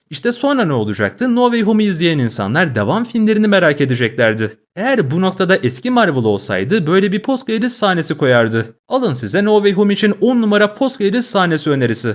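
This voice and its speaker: At a fairly quick pace with hardly any pauses, a man with a high pitch swings very widely in pitch while keeping his loudness very even. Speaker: YouTube film commentator. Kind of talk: video essay monologue.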